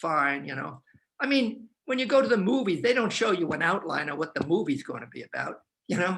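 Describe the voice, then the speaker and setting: A man speaks in a raised, projected voice at a high pitch. His pitch swings very widely. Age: 80s+. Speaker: professor. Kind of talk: panel discussion. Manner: halting, many repeated words; fast.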